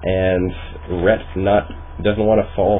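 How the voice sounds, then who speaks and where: A man's voice against noticeable background noise. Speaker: amateur esports caster. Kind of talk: esports play-by-play commentary. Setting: home microphone recording.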